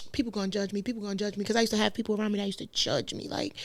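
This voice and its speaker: A woman speaks in an animated tone. The recording is very clean, with a silent background. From Brooklyn, New York. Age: 20s. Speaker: podcast guest. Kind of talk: casual chat. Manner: loud.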